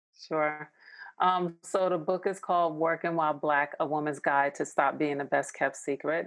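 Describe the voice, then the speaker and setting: A woman with an American accent speaks at a very deep, low pitch in a monotone, flat intonation. Her pace is moderate and her loudness very even. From New York. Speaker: organizational development strategist and author. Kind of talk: interview.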